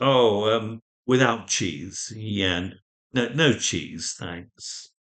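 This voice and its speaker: At a very slow pace, a man speaks at a fairly low pitch with ordinary pitch variation. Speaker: English teacher. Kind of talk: casual talk to camera. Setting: outdoors. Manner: slow, friendly, hesitant.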